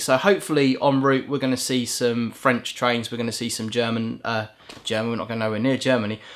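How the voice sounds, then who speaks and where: The talking goes along fairly quickly, with noticeable noise behind it. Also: man. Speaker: train driver vlogger. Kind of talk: casual vlog monologue. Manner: fast.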